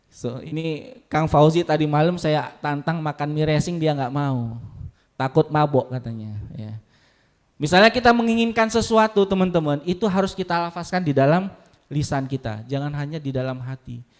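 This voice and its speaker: The tone is animated, and the recording is very clean with a silent background. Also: man, fairly high pitch for a man, lively intonation, moderate pace. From Lampung, southern Sumatra, Indonesia. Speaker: university staff speaker at student orientation. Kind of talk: motivational talk to new students. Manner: animated, interactive with audience.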